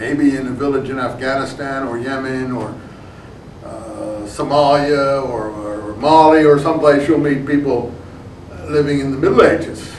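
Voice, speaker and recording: Amid noticeable background noise and audible room echo, a man speaks at a fairly high pitch and moderate pace with fairly even intonation and big swings in loudness. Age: 60s. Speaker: professor. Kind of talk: lecture. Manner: halting, many fillers.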